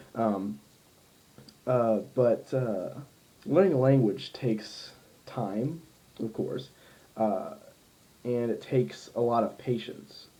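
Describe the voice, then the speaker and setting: A dark, mellow tone in an American accent, very slow pace and lively intonation, with long, frequent pauses. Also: man, medium pitch for a man. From US Midwest, Ohio. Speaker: language learner, polyglot vlogger. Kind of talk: casual vlog monologue. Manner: many fillers, halting.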